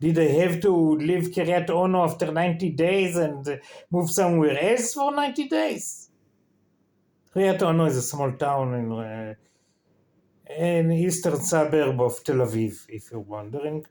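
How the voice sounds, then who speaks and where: A man with an Israeli accent talks at a moderate pace in a high pitch with lively intonation. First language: Hebrew. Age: 50s. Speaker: vlogger. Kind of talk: casual vlog monologue. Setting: in bed. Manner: halting.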